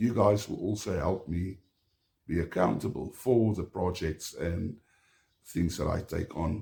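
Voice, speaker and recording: A man speaks in a somewhat breathy voice with a dark, mellow tone and ordinary pitch variation. He has an Afrikaans South African accent. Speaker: homesteader. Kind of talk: casual vlog talk to camera. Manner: halting, many fillers.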